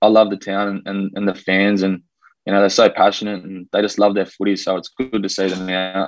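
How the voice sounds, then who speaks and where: Dry and close with no echo, a man with an Australian accent talks at a fairly quick pace in a fairly low, monotone, flat voice. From Australia, raised from age two (born New Zealand). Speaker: professional rugby league player. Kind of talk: casual interview.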